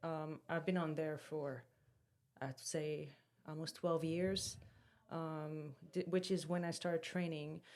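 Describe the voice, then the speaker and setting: Very slowly, with long, frequent pauses, a woman speaks in a very deep, low, monotone, flat voice with a strong non-native accent. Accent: strong foreign. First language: French or Portuguese. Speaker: fitness influencer and podcast co-host. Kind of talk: casual chat.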